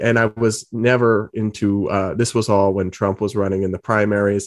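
Monotone, flat intonation from a man with an American accent, at a moderate pace and fairly low pitch, against a quiet background. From New England (Massachusetts and Rhode Island). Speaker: political journalist. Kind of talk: interview.

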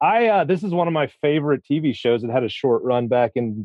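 The speaker talks at a fairly quick pace. It is delivered with an American accent. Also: man. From US Midwest, Missouri. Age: 30s. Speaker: loan processor, listener guest. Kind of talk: casual chat.

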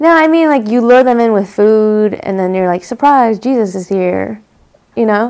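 A woman with an unremarkable speaking voice talks at a fairly high pitch and a moderate pace. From US, Korean immigrant family. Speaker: comedian. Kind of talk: casual chat.

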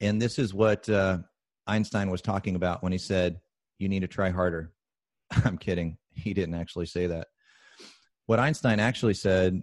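A man talks at a moderate pace with a very deep, low pitch and fairly even intonation. The sound is dry and close with no echo, over a quiet background. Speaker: business coach. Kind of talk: interview.

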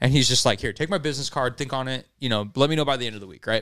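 A man talks very fast in a very clean recording with a silent background. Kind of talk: casual chat.

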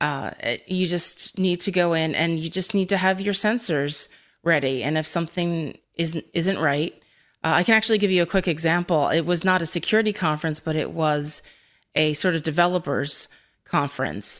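A woman with an American accent talks at a moderate pace in a plain, everyday voice. Her pitch is fairly low and varies in an ordinary way, over a quiet background. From Philadelphia, US. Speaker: cybersecurity analyst, former librarian. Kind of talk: interview.

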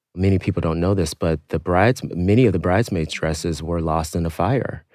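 A man speaks with a very deep, low voice. The sound is dry and close with no echo, on a very clean recording with a silent background. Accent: American. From US Midwest, Youngstown, Ohio. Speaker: fashion executive. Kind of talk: interview conversation. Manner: animated.

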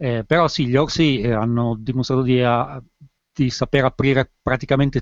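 With an unremarkable speaking voice, a man talks at a moderate pace with fairly even intonation, in a dry, close sound with no echo against a quiet background. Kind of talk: casual chat.

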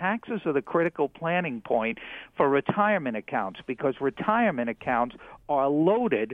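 A man's fairly high pitch with very wide pitch swings. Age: 60s. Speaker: retirement finance expert. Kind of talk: interview. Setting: studio.

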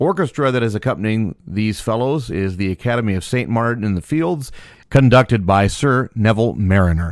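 Recorded very cleanly against a silent background, a man with a normal speaking voice talks at a fairly quick pace. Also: medium pitch for a man, lively intonation. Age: 40s. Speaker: podcast host. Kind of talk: reading aloud; casual commentary.

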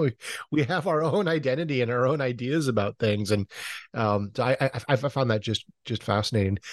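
An ordinary speaking voice from a man, fairly quick with ordinary pitch variation, in a dry, close sound with no echo and a quiet background. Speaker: podcast host. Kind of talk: interview.

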